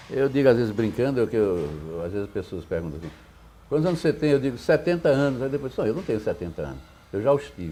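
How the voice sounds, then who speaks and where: Racing at a very fast pace, a man speaks at medium pitch in a dark, mellow tone, with vocal fry and very wide pitch swings. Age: 70s. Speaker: poet and academic. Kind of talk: interview.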